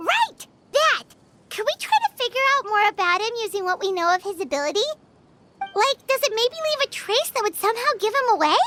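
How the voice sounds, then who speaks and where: This put-on character voice is extremely high in pitch. It moves along at a fairly quick pace. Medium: video game. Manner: excitable, fast, exclamatory.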